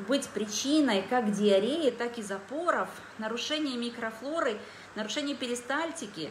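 A woman's high voice at a very slow pace, with lively intonation, audible room echo and light background noise. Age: 40s. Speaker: dietitian and wellness product distributor. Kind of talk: live stream product presentation. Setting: live video stream on social media. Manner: animated. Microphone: phone near.

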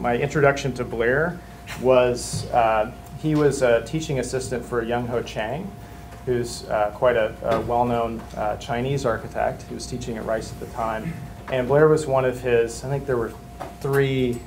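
Music plays in the background as a man talks at a moderate pace with fairly even intonation. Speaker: faculty member introducing a guest lecturer. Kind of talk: speaker introduction. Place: classroom. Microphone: camera far.

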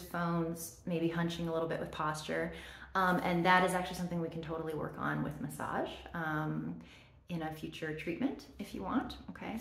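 This woman's voice sits fairly low in pitch. Audible room echo surrounds it. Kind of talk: soft role-play, addressed to the viewer. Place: home room. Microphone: phone near.

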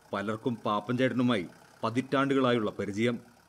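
This is an unremarkable speaking voice. A man talks at a medium pitch. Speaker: TV news reporter. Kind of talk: TV news feature narration.

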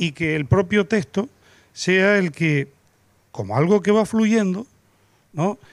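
Moderately paced speech comes from a man with ordinary pitch variation. The sound is dry with no echo, over a quiet background. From Canary Islands, La Palma; Canary Islands. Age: 50s. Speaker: writer; panelist. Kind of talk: panel discussion. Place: garden. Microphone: handheld.

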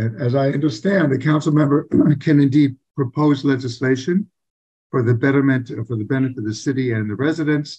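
Somewhat breathy, a man speaks against a quiet background. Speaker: council candidate. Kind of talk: interview answer. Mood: earnest, measured. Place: home room. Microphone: video call.

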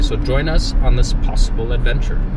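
A man's voice comes through with a dry sound with no echo but loud background noise. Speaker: travel vlogger driving. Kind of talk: casual vlog chat. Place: car. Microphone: phone near.

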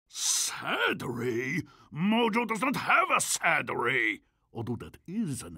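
A man does a cartoonish character voice, pitched high. He speaks at a very slow pace. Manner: pompous, speaks of himself in third person.

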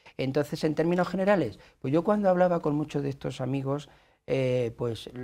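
Against a quiet background, a man with a fairly high pitch and a dark, mellow tone speaks with lively intonation. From Spain, Toledo province; Spain. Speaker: author and teacher; teacher. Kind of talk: interview. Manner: halting, many repetitions. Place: studio. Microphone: lapel.

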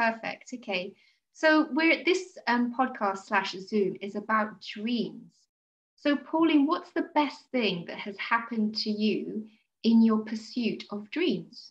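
A woman's somewhat breathy voice at a very slow pace. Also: fairly high pitch for a woman, lively intonation. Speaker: podcast host. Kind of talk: casual interview. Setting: video call. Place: home room. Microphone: video call.

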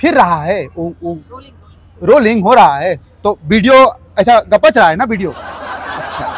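Very slow speech from a man, with a dry sound and no echo. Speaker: comedian in comic persona. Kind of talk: comic skit monologue in dialect. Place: street. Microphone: phone near.

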